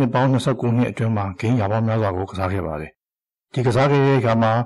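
A man speaks at medium pitch with ordinary pitch variation, in a normal speaking voice. The background is quiet. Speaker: video game hobbyist. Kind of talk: scripted narration. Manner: formal.

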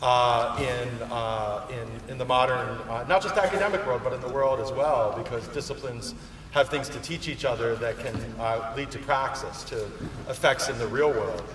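A man talks at a moderate pace with ordinary pitch variation. Light background noise and audible room echo are present. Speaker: conference speaker, law professor. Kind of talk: lecture. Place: hall. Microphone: podium.

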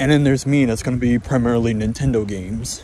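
In a dry recording with no echo and light background noise, a man speaks with fairly even intonation. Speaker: vlogger. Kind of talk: casual vlog chat. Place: car. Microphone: phone near.

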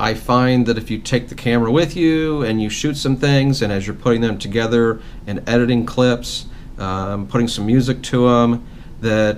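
A man speaks over light background noise. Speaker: vlogger. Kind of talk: casual vlog Q&A. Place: home room. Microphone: phone near.

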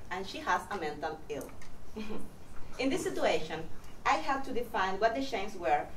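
A woman speaks at a moderate pace. The room echo is audible, and there is light background noise. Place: classroom.

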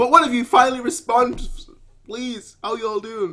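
A man speaks in a raised, projected voice with a bright, sharp tone. His pitch swings very widely against a quiet background. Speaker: anime reaction creator. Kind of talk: casual reaction chat. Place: home room. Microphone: headset.

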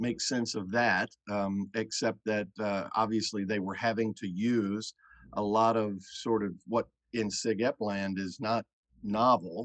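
A man's fairly low, monotone voice with flat intonation, at a fairly slow pace over a quiet background. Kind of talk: interview answer. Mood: candid, relaxed, some laughter. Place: home room. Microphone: video call.

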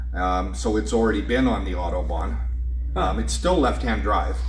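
A man with a very deep, low pitch at a moderate pace, amid audible room echo and light background noise. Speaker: auctioneer. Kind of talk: interview answer. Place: garage. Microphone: camera far.

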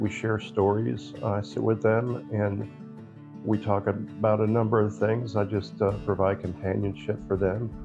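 A man speaks at a moderate pace with a fairly low pitch. Clear music plays in the background. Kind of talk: interview answer. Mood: calm, earnest. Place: home room. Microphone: phone near.

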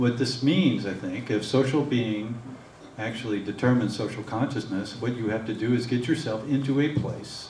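A man talks at a moderate pace. Light background noise and audible room echo are present. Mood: earnest, persuasive. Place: hall. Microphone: podium.

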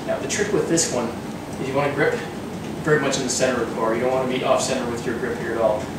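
A man talking at a very fast pace, with audible room echo and loud background noise. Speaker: fitness instructor. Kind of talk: tutorial. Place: gym. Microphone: camera far.

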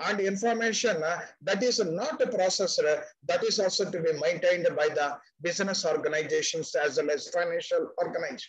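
Against a quiet background, a man talks fairly quickly in a high voice with ordinary pitch variation. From India. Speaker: retired banker and finance expert; webinar presenter. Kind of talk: webinar presentation. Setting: video call. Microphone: webcam.

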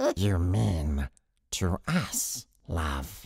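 A put-on character voice sounds raspy, gravelly and nasal at a very deep, low pitch. The recording is very clean, with a silent background. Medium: tutorial demo. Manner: hissing, flipping between sharp and whiny.

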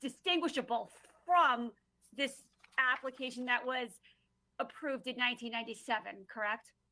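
A woman with a Long Island accent speaks at a high pitch and a moderate pace, with ordinary pitch variation and long, frequent pauses. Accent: New York (Long Island). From Long Island, New York. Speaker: planning and zoning commissioner. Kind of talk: public hearing questioning. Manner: hesitant, many fillers.

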